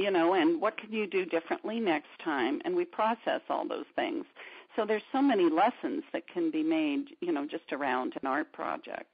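A woman's fairly high voice with vocal fry and very wide pitch swings at a moderate pace. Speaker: art therapist and art teacher. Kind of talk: interview. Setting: radio interview.

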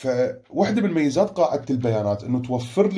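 A man speaks at medium pitch with a dark, mellow tone. His voice is somewhat breathy and swings very widely in pitch. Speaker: school teacher. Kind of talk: online lesson.

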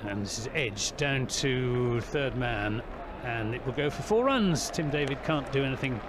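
A man's fairly slow speech against noticeable background noise. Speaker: cricket commentator. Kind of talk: live cricket commentary. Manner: animated, rhythmic ball-by-ball delivery, rising on big shots.

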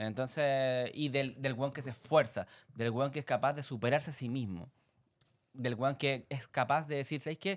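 The background stays quiet as a man speaks. His pace is moderate and his pitch varies in an ordinary way. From Chile. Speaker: podcast co-host. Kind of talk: casual chat. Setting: studio. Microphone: studio mic.

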